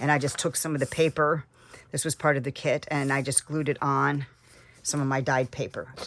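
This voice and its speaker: A woman with an American accent talks fairly quickly in a very deep, low voice. Her intonation is monotone and flat. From Florida. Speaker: crafter, channel owner. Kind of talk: crafting tutorial. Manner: fast; casual, self-correcting.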